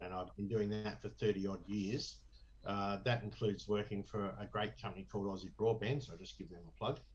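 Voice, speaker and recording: Showing vocal fry and big swings in loudness, a man with an Australian accent talks at a fairly quick pace. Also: fairly low pitch for a man. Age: 60s. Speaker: election candidate. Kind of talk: interview. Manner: animated.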